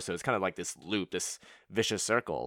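This man talks very fast with an energetic tone. The recording is very clean, with a silent background. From Montreal, Canada. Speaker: podcast host. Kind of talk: casual solo Q&A episode. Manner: fast talker; energetic, laughs often.

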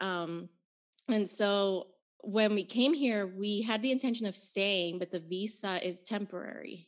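An ordinary speaking voice with an American accent, fairly slow and fairly even in intonation. The background is quiet. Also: woman. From Nicaragua, raised in the US. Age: 30s. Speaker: author and activist. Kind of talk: casual interview chat.

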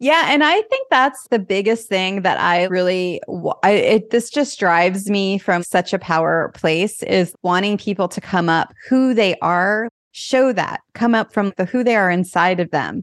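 An unremarkable speaking voice moves at a fairly slow pace with hardly any pauses, ordinary pitch variation and very even loudness against a quiet background. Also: woman, medium pitch for a woman. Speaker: podcast host. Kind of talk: casual interview.

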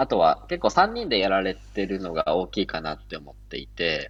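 A man talks at a moderate pace. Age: 20s. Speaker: freelance software engineer. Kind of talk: casual chat.

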